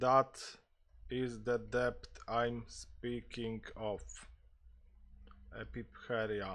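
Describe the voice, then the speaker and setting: Mumbling at a very slow pace, a man leaves long, frequent pauses. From Poland. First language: Polish. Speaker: gaming streamer. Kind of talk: live gameplay stream with roleplay.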